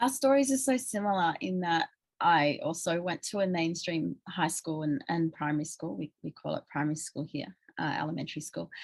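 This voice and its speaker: A woman with an Australian accent speaks fairly quickly at fairly low pitch, with very wide pitch swings. The sound is dry and close with no echo, and the background is quiet. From rural New South Wales, Australia. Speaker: writer and interviewer. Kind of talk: interview conversation.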